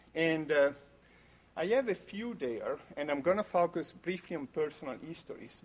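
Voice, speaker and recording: The speaker has an Italian accent and lively intonation. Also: man. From Italy. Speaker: geography researcher. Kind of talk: conference talk. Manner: halting, many fillers.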